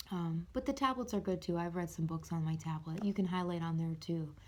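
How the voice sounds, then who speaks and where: A woman speaks quietly at a fairly low pitch. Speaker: mental health vlogger. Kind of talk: casual vlog book review. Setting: at home upstairs, late night. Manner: quiet, hushed; halting with fillers.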